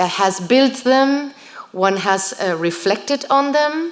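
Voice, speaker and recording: A woman speaks with a Spanish accent and lively intonation, with audible room echo and noticeable background noise. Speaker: writer. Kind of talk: Q&A after a lecture.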